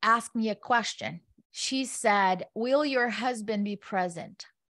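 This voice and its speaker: A woman with a non-native accent speaks at a fairly slow pace in a fairly high pitch. The recording is very clean, with a silent background. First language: not English. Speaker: real estate investor and developer. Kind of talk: interview.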